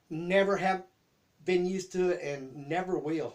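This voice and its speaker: In a Southern US accent, the speaker talks at a fairly slow pace with ordinary pitch variation. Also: man. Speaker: YouTube host. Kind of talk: casual chat. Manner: halting.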